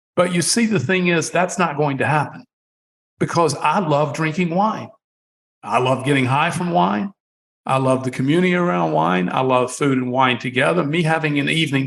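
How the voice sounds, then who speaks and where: Speaking at a moderate pace with very even loudness, a man with an unremarkable speaking voice uses lively intonation at a fairly high pitch. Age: 60s. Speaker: wine company founder. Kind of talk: podcast interview.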